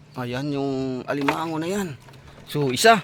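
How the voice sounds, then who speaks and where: Lively intonation and a fairly slow pace come through over noticeable background noise. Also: man. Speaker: vlogger. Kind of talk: casual vlog narration. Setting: outdoors by a river.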